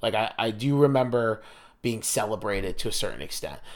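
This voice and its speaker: With an American accent, this is an unremarkable speaking voice moving at a fairly quick pace in a very clean recording with a silent background. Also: man. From US Mid-Atlantic, near Washington DC. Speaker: podcast host. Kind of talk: casual chat.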